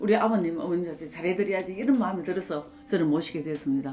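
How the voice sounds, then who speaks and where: Noticeable noise fills the background while a woman talks. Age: 70s. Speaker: pastor's wife and nurse. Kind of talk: interview answer.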